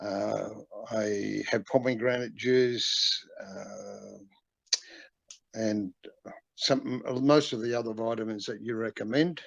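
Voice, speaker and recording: A man at a very slow pace with long, frequent pauses. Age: 70s. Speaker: viewer asking a question. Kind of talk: recorded question. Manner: halting, many fillers.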